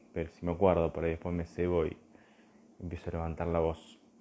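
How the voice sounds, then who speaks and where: Soft-spoken and fairly quick, a man talks in a very deep, low pitch with a dark, mellow tone and monotone, flat intonation. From Argentina, Buenos Aires area. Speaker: philosophy teacher. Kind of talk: live stream talk. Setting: Instagram live video.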